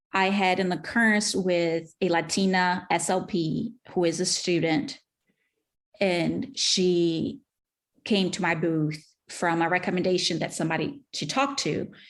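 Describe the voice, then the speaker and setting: Against a quiet background, a woman with a non-native accent speaks fairly slowly in a fairly low voice with ordinary pitch variation. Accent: foreign. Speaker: speech-language pathologist and author. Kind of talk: interview.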